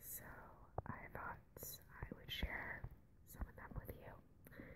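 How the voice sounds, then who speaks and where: Someone whispers at a very slow pace through noticeable background noise. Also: woman. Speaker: ASMR creator. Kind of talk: ASMR poetry reading. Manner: whispered, close-up.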